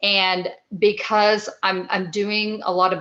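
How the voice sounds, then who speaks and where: A woman with a Texas accent. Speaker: actress and film producer. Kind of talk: interview.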